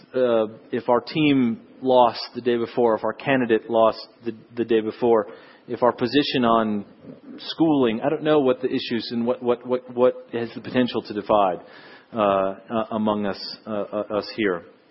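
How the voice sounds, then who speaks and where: A man's medium-pitched voice, a normal speaking voice, with an American accent, a fairly slow pace and fairly even intonation. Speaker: missionary. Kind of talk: sermon. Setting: church.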